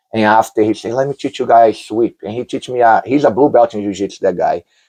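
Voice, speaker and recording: A man with a Brazilian Portuguese accent speaks at a medium pitch in a dark, mellow tone. The sound is dry and close with no echo, over a quiet background. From Brazil, Rio de Janeiro. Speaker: jiu-jitsu champion. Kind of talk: interview.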